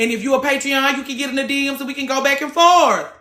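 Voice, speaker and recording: A woman speaks with a raised, projected voice at a fairly quick pace, her tone bright and sharp and her pitch high. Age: 30s. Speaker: livestream host, former hairstylist. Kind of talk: casual chat. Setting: live stream. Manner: loud.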